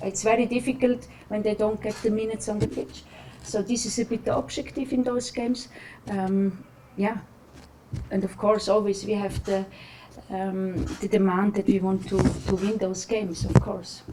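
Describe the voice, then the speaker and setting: At a moderate pace, the speech has fairly even intonation and long, frequent pauses. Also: woman, medium pitch for a woman. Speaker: national women's football team coach. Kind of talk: press conference. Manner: halting, many fillers.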